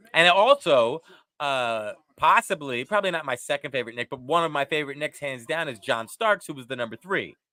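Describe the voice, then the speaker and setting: In an American accent, a man talks at a fairly quick pace with lively intonation, a fairly high pitch, and a bright, sharp tone, the sound dry and close with no echo. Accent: faint New York, mostly subdued. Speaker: wrestling podcast co-host. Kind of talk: casual chat.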